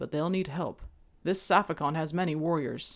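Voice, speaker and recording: Using a put-on character voice, a man talks in a high pitch at a moderate pace with fairly even intonation. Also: very clean recording, silent background. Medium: read story. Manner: watchful, fatherly.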